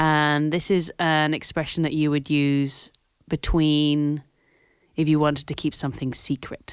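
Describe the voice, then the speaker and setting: A woman's very deep, low voice, monotone and flat, at a fairly slow pace with very even loudness, in a very clean recording with a silent background. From Scotland. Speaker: podcast co-host. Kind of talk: casual chat.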